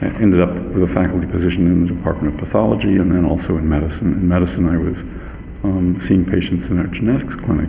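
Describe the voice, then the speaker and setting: A man with a very deep, low voice talks at a very fast pace, his loudness very even and his pitch varying in an ordinary way, with audible room echo and noticeable background noise. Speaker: medical geneticist. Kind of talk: interview. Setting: hotel conference room, live recording.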